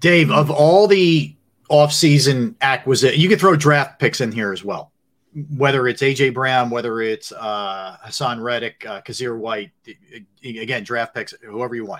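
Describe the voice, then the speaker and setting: Lively intonation and big swings in loudness mark this man's delivery. He speaks at a fairly slow pace in a medium pitch. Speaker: sports talk show host. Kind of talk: casual sports talk show banter. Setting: video call. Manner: animated.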